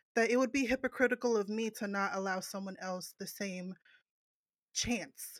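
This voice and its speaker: A woman talks in a normal speaking voice at a fairly high pitch, moderate pace and ordinary pitch variation. The recording is very clean with a silent background and a dry, close sound with no echo. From New Jersey. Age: 30s. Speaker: podcaster. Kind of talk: casual chat.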